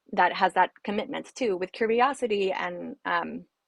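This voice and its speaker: Using vocal fry, a woman speaks at a medium pitch with ordinary pitch variation, in a dry, close sound with no echo. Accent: Spanish. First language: Spanish. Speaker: trafficking survivor advocate. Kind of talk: panel discussion. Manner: halting.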